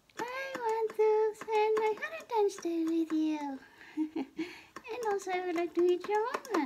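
A woman puts on a character voice with an extremely high pitch. Her intonation is lively, and her pace is moderate. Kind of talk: casual talk to camera.

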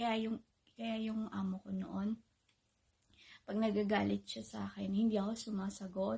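Soft-spoken and at a moderate pace, the speaker leaves long, frequent pauses over a quiet background. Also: woman. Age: 30s. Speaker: vlogger. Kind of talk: casual vlog monologue. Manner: louder than usual. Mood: calm, reflective personal story. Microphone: phone near.

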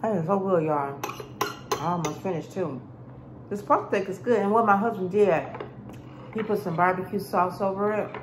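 A woman talks at a fairly quick pace with ordinary pitch variation over noticeable background noise. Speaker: food vlogger. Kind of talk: casual mukbang vlog chat. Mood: relaxed, chatty. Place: kitchen. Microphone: phone near.

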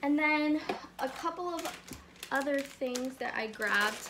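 Over light background noise, the voice is raised and projected. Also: woman. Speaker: haul vlogger. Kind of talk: casual vlog chat. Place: home room. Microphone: phone near.

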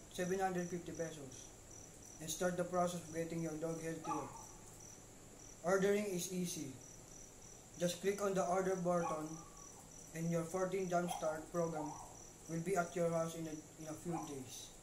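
Over noticeable background noise, a man with a high pitch talks in a flat monotone, leaving long, frequent pauses. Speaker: infomercial presenter. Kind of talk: infomercial read. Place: home room. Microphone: webcam.

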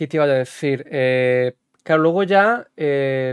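A man delivers his words at a very slow pace, with little sound behind him in a quiet background. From Spain. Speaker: podcast host and basketball video game streamer; podcast host, basketball video game streamer. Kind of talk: interview. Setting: livestream podcast. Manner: animated. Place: home room. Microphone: studio mic.

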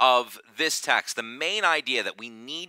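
Recorded dry with no echo over a quiet background, a man with a bright, sharp tone and vocal fry speaks at a fairly slow pace. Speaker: preacher. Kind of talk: sermon. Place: church.

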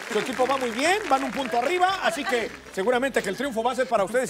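Someone speaks at a very fast pace over clear music in the background. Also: man. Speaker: game show host. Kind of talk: game show hosting. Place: stage. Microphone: lapel.

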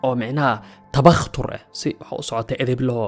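Music plays in the background. A man speaks over it with fairly even intonation. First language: Somali (speaking Arabic). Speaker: religious storyteller. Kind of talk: religious talk.

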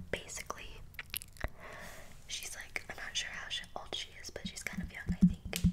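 A woman is speaking. Loud background noise runs behind her. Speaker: ASMR creator. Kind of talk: casual vlog chat. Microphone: studio mic.

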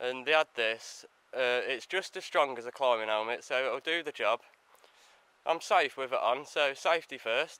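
A bright, sharp voice speaks at a moderate pace with ordinary pitch variation, the sound dry with no echo. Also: man. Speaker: explorer vlogger. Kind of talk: casual vlog chat. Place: open country. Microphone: phone near.

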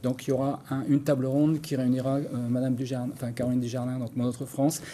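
Speaking fast, a man uses a medium pitch that barely moves. His tone is dark and mellow.

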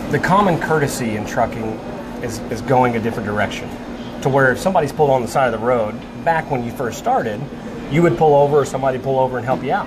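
A man talking at a fairly quick pace amid noticeable background noise. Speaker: show host. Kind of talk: interview question. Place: cafe. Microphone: lapel.

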